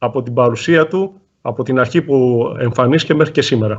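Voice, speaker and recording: Talking at a very fast pace with a non-native accent, a man keeps his medium-pitched voice in fairly even intonation. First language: not Greek. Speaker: volleyball coach and interpreter. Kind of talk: consecutive interpreting.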